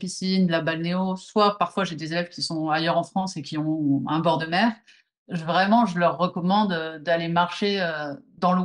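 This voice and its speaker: In a quiet background, a woman talks with fairly even intonation. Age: 40s. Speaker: movement teacher. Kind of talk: interview.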